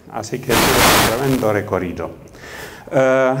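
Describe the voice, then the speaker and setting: Noticeable background noise and audible room echo surround this recording. The man speaking has a medium pitch. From Romania, Transylvania. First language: Romanian (speaking Spanish). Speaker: professor. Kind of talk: lecture. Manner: hesitant, many fillers.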